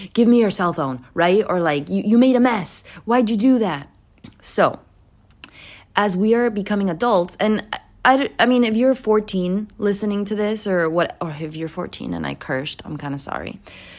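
A woman with an unremarkable speaking voice talks at a medium pitch and moderate pace with lively intonation, in a very clean recording with a silent background. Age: 20s. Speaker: solo podcaster. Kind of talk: casual monologue. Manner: casual, filler-heavy.

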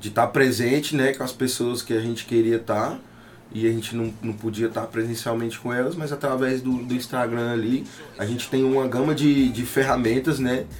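A man talks at a fairly quick pace in a medium pitch. Noticeable background noise is present. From Tocantins, northern Brazil. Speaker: rapper and music producer. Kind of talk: casual interview chat. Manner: casual slangy speech.

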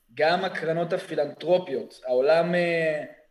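Fairly slow in pace, a man talks with a high pitch. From Israel, Kfar Saba. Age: 20s. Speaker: student protest leader, army veteran. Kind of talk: podcast interview.

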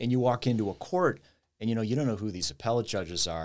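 The speaker is a man. Pitch shifts in an ordinary way. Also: very clean recording, silent background. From US Midwest, Cleveland, Ohio. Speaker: title company executive and lawyer. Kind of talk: interview conversation.

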